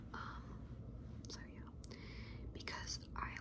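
A woman talks over loud background noise. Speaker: ASMR creator. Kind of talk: casual ramble to camera. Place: home room. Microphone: phone near.

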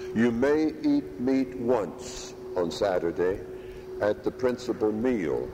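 A man speaking very slowly over noticeable background noise. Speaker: priest. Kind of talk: sermon. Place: church.

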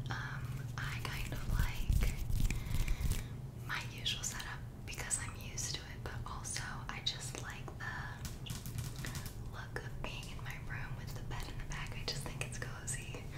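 Amid loud background noise, a woman talks at a fairly slow pace with long, frequent pauses. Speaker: ASMR creator. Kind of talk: soft-spoken casual chat. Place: bathroom.

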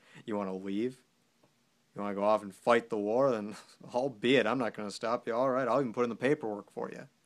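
Over a quiet background, a man talks at a fairly quick pace with fairly even intonation. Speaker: actor performing a soldier character. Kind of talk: dramatic monologue. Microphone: phone near.

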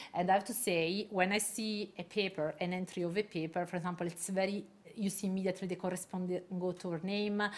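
The delivery runs at a very fast pace. Its intonation is monotone and flat. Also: woman. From Italy. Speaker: neuroscientist and journal editor; guest. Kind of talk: lecture. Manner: halting. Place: hall. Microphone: camera far.

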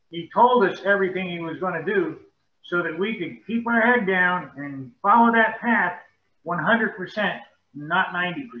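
A fairly slow delivery with audible room echo. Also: man. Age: 70s. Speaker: Bible study participant. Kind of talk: group discussion. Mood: calm, reflective. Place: home room. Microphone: video call.

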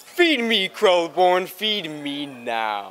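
A put-on character voice at a middle pitch. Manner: menacing, demanding.

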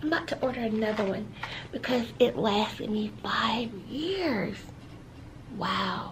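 Soft-spoken and fairly slow, the speaker leaves long, frequent pauses over light background noise. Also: woman. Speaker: ASMR creator. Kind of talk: ASMR talk to camera. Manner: soft-spoken, relaxed. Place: home room.

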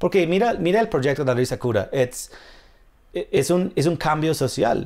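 Lively intonation marks this man's speech, delivered with an English accent. He keeps a moderate pace against a quiet background. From US, New York. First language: English (speaking Spanish). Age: 30s. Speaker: comedian. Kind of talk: casual chat. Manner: halting. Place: home room.

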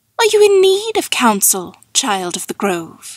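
Using a put-on character voice, a woman speaks at a fairly slow pace with a fairly high pitch and very wide pitch swings. The sound is dry and close with no echo, on a very clean recording with a silent background.

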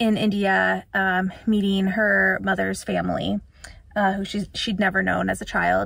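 A woman is speaking in a quiet background. The sound is dry, with no echo. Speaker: book vlogger. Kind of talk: casual vlog chat. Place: car. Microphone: phone near.

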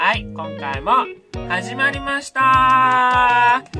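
The speaker is a man. Music plays clearly behind him. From Wakayama, Japan. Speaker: comedian. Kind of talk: casual talk to camera. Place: home room. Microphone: phone near.

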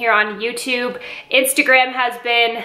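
A woman with a high voice speaks at a moderate pace. Her intonation is monotone and flat, and room echo is audible. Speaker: lifestyle vlogger. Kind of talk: casual vlog chat. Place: kitchen. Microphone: phone near.

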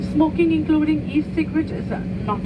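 A woman talks at a fairly quick pace while loud background noise carries on. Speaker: cabin crew announcer. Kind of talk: in-flight safety announcement. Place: plane.

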